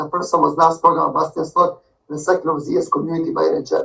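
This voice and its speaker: In a Croatian accent, a man talks at a very fast pace. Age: 20s. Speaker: sales job applicant. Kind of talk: recorded self-introduction pitch. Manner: fast, mumbling; energetic.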